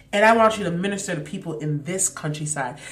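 Her tone animated and somewhat breathy, a woman speaks amid audible room echo. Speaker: podcast host. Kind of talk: faith reflection monologue.

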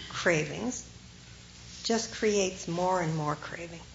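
Noticeable background noise sits under this recording. A woman with a fairly low pitch speaks at a fairly slow pace. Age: 50s. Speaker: Zen meditation teacher. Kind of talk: dharma talk. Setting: talk with live audience.

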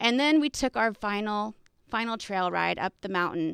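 A woman with an American accent and a normal speaking voice at fairly high pitch, dry and close with no echo, on a very clean recording with a silent background. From Texas. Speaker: podcast host and coach. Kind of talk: personal storytelling monologue.

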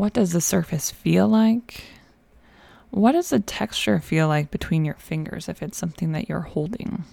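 Her voice is dark and mellow, somewhat breathy, calm and soothing in tone, and it swings very widely in pitch. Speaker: podcast host, nurse practitioner and nutrition coach. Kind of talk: guided meditation. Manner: slow, calm, soothing, with gentle pauses.

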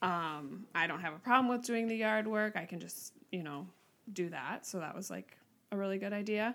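Speaking with a Minnesota accent, a woman uses a medium pitch, ordinary pitch variation and a moderate pace. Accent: Upper Midwest (Minnesota) American. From Minnesota, Twin Cities suburbs. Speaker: teacher. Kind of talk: casual interview.

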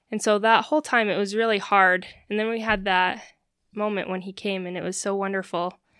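A woman with an American accent, her tone bright and sharp, on a very clean recording with a silent background. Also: medium pitch for a woman, fairly quick pace. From Utah. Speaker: new mother. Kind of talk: casual interview.

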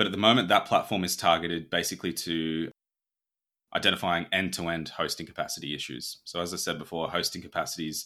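Very fast and bright, a man's sharp-toned, very deep, low voice comes through a very clean recording with a silent background. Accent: Australian. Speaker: startup founder and CEO. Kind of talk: interview.

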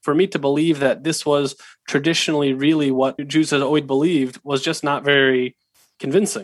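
This man's pitch sits fairly high, with fairly even intonation. He talks at a fairly quick pace. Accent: Pacific Northwest. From US Pacific Northwest (Seattle, Washington). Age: young. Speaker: rabbinic student. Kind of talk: interview.

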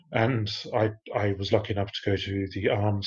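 Over a quiet background, a somewhat breathy man speaks at a fairly low pitch in a monotone, flat intonation. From Australia. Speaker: podcast host, research manager. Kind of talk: casual chat.

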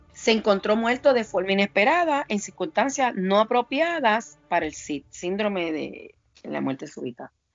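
A woman's pitch swings very widely as music plays behind her. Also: moderate pace. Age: 50s. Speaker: forensic investigator. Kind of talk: interview. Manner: halting, many fillers.

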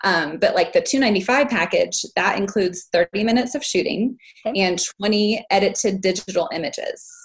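Somewhat breathy and fairly high-pitched, a woman with an American accent speaks at a moderate pace with lively intonation. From Texas. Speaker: family photographer. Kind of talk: group coaching call.

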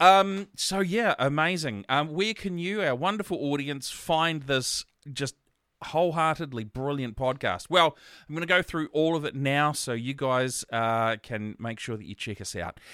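A man with a New Zealand accent speaks at a moderate pace in a fairly high pitch, with a bright, sharp tone and lively intonation. The recording is very clean, with a silent background and a dry, close sound with no echo. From New Zealand, Gisborne. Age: 40s. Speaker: podcast host. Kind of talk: casual interview.

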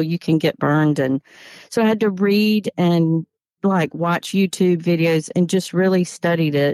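A woman with a Southern US accent speaks at a fairly slow pace in a fairly low pitch, recorded very cleanly against a silent background with a dry, close sound and no echo. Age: 50s. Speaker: soap maker and former teacher. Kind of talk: interview.

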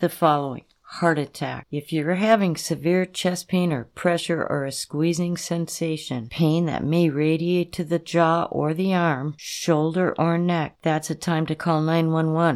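In an American accent, a woman with an ordinary speaking voice talks at a fairly slow pace with fairly even intonation and a fairly low pitch. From Minnesota, Duluth. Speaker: emergency physician. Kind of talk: informational interview. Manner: measured, instructive.

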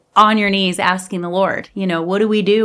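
A woman speaks in a normal speaking voice at a fairly quick pace, her intonation fairly even. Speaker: podcast host. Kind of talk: faith-based interview.

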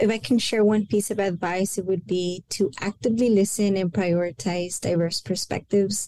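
A woman in a Spanish accent, medium pitch, at a moderate pace with hardly any pauses and ordinary pitch variation. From El Paso, Texas. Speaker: university senior director. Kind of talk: interview on a podcast.

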